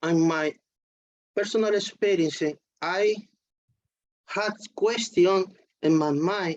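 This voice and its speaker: A woman speaks at a very slow pace with a non-native accent. Her pitch is medium, with ordinary pitch variation. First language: not English. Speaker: devotee. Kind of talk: casual chat. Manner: halting.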